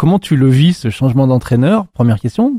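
A man's somewhat breathy, medium-pitched voice with a dark, mellow tone, in a dry, close sound with no echo. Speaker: podcast host. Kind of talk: interview. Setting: gym room, seated on a bench.

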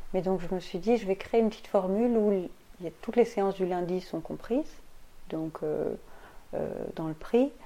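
Long, frequent pauses break up a woman's speech, which moves at a moderate pace. Her medium pitch shows ordinary variation, and her tone is dark and mellow. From Belgium. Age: 30s. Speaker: energy healer and astrologer. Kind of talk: casual interview.

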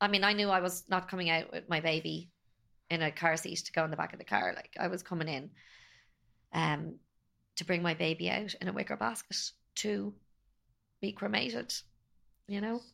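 A woman with an Irish accent speaks at a fairly quick pace in a fairly low pitch, with a bright, sharp tone and some vocal fry. Her intonation is lively, broken by long, frequent pauses. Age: 40s. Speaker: podcast guest, bereaved mother. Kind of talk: personal testimony.

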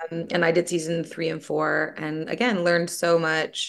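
At a moderate pace, a woman talks in a very deep, low voice with fairly even intonation. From Toronto, Canada. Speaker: writer and screenwriter. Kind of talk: casual interview chat.

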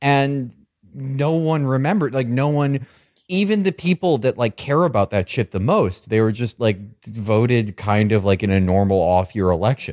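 Speaking at a moderate pace and medium pitch, a man's voice swings very widely in pitch. The recording is very clean and silent behind him, with a dry, close sound and no echo. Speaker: podcast co-host. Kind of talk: casual comedic chat.

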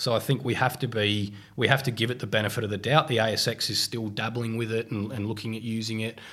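On a very clean recording with a silent background, a man with an Australian accent talks at a very fast pace with hardly any pauses, using monotone, flat intonation at medium pitch and a bright, sharp tone. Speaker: economist. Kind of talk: podcast interview.

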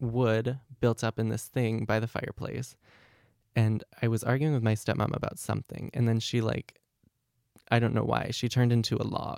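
At medium pitch and moderate pace, a man speaks in a monotone, flat way, the sound dry and close with no echo in a very clean recording over a silent background. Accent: American. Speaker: university student. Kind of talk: life story interview.

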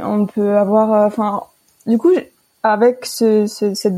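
The voice belongs to a woman. Its pitch lands in the middle range. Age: 20s. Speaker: student sharing personal health story. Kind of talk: interview testimony. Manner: hesitant, many fillers.

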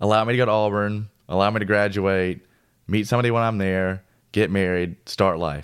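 With an American accent and a plain, everyday voice, a man talks at a fairly quick pace with fairly even intonation on a very clean recording over a silent background. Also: fairly low pitch for a man. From US South, Tennessee (Nashville area). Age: 20s. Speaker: industrial engineer. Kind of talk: casual chat, personal testimony. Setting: in person, Nashville.

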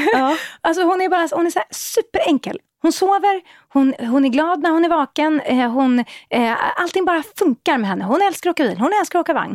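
A woman talks at an extremely high pitch with very wide pitch swings and a fairly quick pace. The recording is very clean with a silent background and a dry, close sound with no echo. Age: 40s. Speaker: parenting blogger and media entrepreneur. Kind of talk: casual panel chat.

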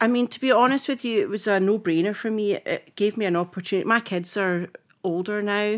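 On a very clean recording with a silent background, a woman with a Scottish accent speaks at a fairly quick pace. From Scotland. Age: 50s. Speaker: film costume designer. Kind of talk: casual chat. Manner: animated.

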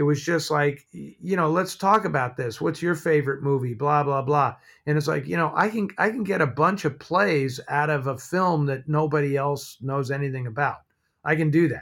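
Speaking with a West Coast accent, a man talks at a moderate pace in a fairly high pitch with ordinary pitch variation. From San Francisco, US. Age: 60s. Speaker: film historian and writer. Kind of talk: casual interview chat. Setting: video call from home office.

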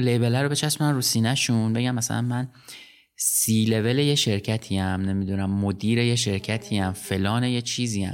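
Music runs in the background as a man with a medium pitch speaks at a moderate pace. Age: 40s. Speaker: podcast host. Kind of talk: casual interview.

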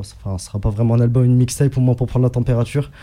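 A man speaks in a dark, mellow tone. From Egypt. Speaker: rapper. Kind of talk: radio interview. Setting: radio studio. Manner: halting.

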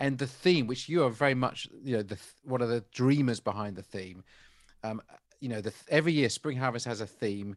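A man's normal speaking voice at medium pitch, fairly quick, with ordinary pitch variation and big swings in loudness. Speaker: podcast host. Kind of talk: interview conversation.

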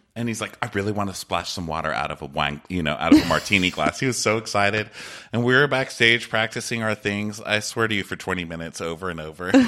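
Over noticeable background noise, a man speaks at a very fast pace in a fairly low pitch with ordinary pitch variation. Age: 40s. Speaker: podcaster. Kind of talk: casual chat. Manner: talkative.

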